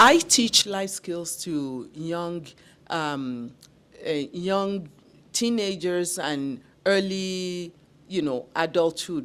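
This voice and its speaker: A woman with a non-native accent and fairly low pitch speaks very slowly with lively intonation and long, frequent pauses, on a very clean recording with a silent background. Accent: foreign. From immigrant to Canada. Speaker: talk show host. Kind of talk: interview.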